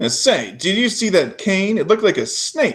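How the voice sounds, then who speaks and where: A man's gruff, high-pitched put-on character voice at a moderate pace, on a very clean recording with a silent background. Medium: read story. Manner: gruff, grunting.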